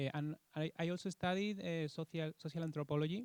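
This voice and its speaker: In dry, close sound with no echo, a man with a Spanish accent speaks at a moderate pace with ordinary pitch variation. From Spain. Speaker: law professor. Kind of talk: self-introduction at academic meeting. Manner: halting, many fillers.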